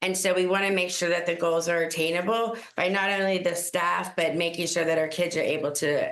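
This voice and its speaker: A woman with a fairly low pitch talks at a moderate pace, with very even loudness and hardly any pauses. Noticeable background noise and audible room echo are present. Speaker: school district administrator. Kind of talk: public meeting presentation.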